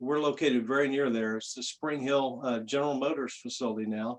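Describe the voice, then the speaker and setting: A man with a normal speaking voice talks at a moderate pace, his medium pitch carried in a fairly even intonation. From Louisiana, raised in Ohio from age ten. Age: 60s. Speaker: union outreach director. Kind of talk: interview.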